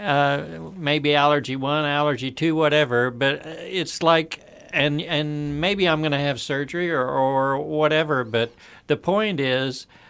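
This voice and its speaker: On a very clean recording with a silent background, the talking proceeds at a fairly slow pace. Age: 60s. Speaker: radio show co-host. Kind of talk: radio talk show conversation.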